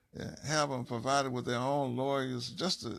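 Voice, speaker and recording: This is a man speaking at a fairly high pitch. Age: 60s. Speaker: parent advocate. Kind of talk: personal appeal monologue. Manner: halting.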